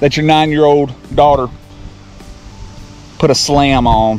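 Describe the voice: A man speaks slowly with a fairly high pitch and a slightly mellow tone. His pitch varies in an ordinary way, with faint music in the background.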